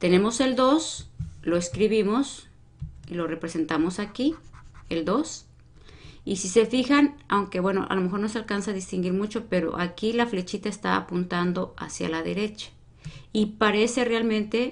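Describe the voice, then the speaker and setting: The woman's intonation is lively. She keeps a moderate pace. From Mexico. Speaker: math teacher. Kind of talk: live-streamed lesson. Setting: live stream. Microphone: webcam.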